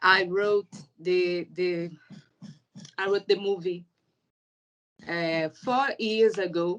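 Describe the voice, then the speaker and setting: With a Portuguese accent, a woman at medium pitch speaks at a very slow pace, her intonation fairly even and broken by long, frequent pauses. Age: 30s. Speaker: filmmaker. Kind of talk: interview. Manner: halting.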